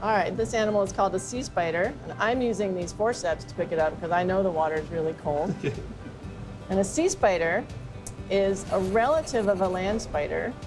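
Clear music plays behind a woman's voice. She talks at a fairly quick pace with ordinary pitch variation. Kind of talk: interview answer. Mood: friendly, smiling. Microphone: lapel.

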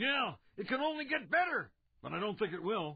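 Speaking at a fairly quick pace, a man uses a high pitch. His voice swings very widely in pitch.

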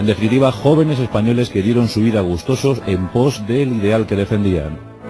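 Clear music plays in the background as a man speaks at a moderate pace with very even loudness. His voice is fairly low with ordinary pitch variation. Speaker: radio host and narrator. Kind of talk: radio documentary narration. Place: studio. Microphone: studio mic.

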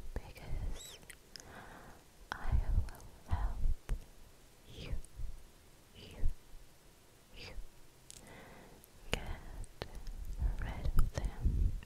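A woman whispers at a very slow pace. She leaves long, frequent pauses. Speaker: ASMR artist. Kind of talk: ASMR whispered roleplay. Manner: whispered. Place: home room. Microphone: studio mic.

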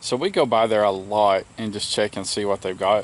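The voice has fairly even intonation and a dry sound with no echo. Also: man. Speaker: homestead vlogger. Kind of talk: casual vlog chat. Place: open country. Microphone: phone near.

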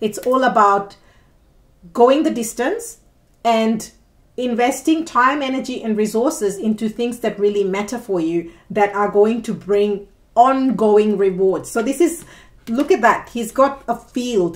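Animated in tone, this voice goes at a fairly slow pace with ordinary pitch variation. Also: woman, fairly high pitch for a woman. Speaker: tarot reader. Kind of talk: tarot reading monologue. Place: home room. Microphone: phone near.

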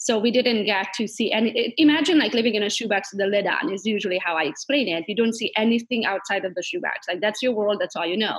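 A woman with a Hungarian accent talks at a very fast pace, with lively intonation and hardly any pauses. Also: fairly high pitch for a woman, quiet background. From Transylvania, Romania (Hungarian minority). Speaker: realtor and entrepreneur. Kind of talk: interview. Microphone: video call.

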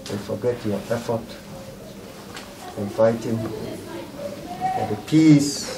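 A man at medium pitch speaks very slowly, with lively intonation and long, frequent pauses. Noticeable background noise is present. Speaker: clergyman, commission executive secretary. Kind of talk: speech at condolence visit.

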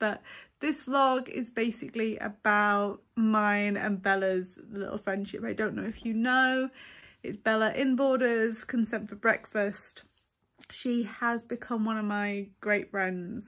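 A woman at a fairly slow pace with fairly even intonation, over a quiet background. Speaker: vlogger. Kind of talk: casual vlog chat. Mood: warm, cheerful. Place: home room. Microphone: phone near.

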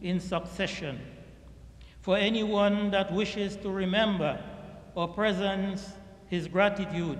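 A man's high-pitched voice, monotone and flat in intonation, at a fairly slow pace with audible room echo. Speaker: imam. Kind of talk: sermon. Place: church. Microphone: podium.

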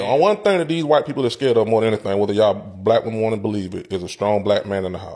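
With a slightly mellow tone, a man talks at a very fast pace. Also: fairly low pitch for a man, ordinary pitch variation.

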